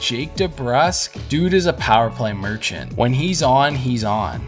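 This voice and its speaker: With music in the background, a man talks at a moderate pace and a medium pitch. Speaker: hockey fan commentator. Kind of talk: casual sports reaction commentary.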